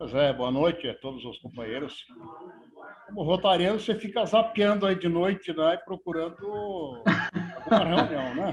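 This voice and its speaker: A man speaks with lively intonation and a high pitch, his loudness swinging widely. Noticeable background noise runs underneath. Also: moderate pace. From Rio Grande do Sul, southern Brazil. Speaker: Rotary district governor. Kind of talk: casual remarks at virtual meeting. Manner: halting, repeats words.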